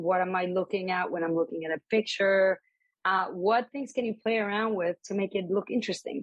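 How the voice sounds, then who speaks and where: A woman with a Spanish accent, medium pitch, moderate pace and fairly even intonation. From Colombia. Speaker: embroidery artist and graphic designer. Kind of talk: interview conversation. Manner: casual, with many fillers.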